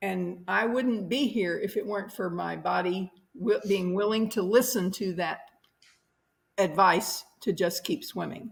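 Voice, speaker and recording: At a fairly slow pace, a somewhat breathy woman speaks at a medium pitch with ordinary pitch variation. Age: 70s. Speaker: interview guest sharing life story. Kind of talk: podcast interview.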